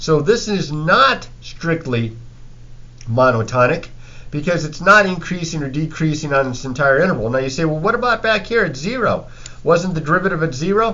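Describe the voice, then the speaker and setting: Lively intonation marks this man's fairly high-pitched speech. There is audible room echo around him. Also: moderate pace. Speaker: math teacher. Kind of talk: lecture.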